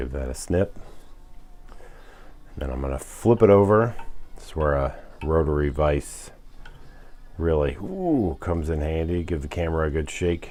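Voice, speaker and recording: Soft-spoken and very deep, a man talks at a moderate pace with ordinary pitch variation, big swings in loudness and long, frequent pauses. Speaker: fly tying instructor. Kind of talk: tutorial. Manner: soft-spoken, keeping voice low; casual.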